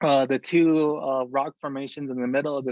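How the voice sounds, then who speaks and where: A man talks in an American accent at a fairly slow pace. His intonation is monotone and flat. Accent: Navajo English. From Navajo Nation, US Southwest. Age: 20s. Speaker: weaver and artist. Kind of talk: presentation. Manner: many filler words, hesitant.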